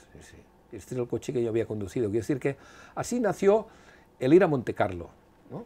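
A man's somewhat breathy, dark and mellow voice, fairly quick, with very wide pitch swings, big swings in loudness and long, frequent pauses. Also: medium pitch for a man. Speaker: retired rally driver. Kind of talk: interview storytelling.

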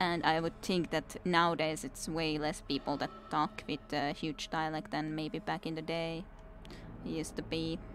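A woman speaks with a low pitch. Her voice shows little pitch movement. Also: moderate pace.

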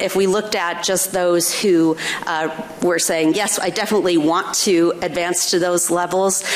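A woman talks at a fairly slow pace. Her intonation stays fairly even. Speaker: research evaluator. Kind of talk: panel discussion. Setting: stage with audience. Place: stage. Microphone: podium.

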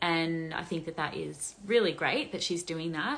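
A woman talks with an Australian accent. Her pitch is fairly low. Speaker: influencer gossip commentator; commentator answering viewer questions. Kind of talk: casual monologue, commentary. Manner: casual, chatty. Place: home room. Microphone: phone near.

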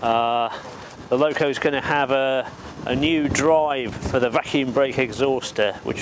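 Amid noticeable background noise, a man speaks at a moderate pace with ordinary pitch variation, the sound dry with no echo. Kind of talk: explanatory walkthrough. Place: open country. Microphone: lapel.

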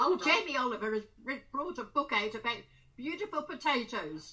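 A woman's raised, projected voice at a moderate pace, full of very wide pitch swings. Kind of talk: casual video call chat. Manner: very elderly, frail woman's voice. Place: home room. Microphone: video call.

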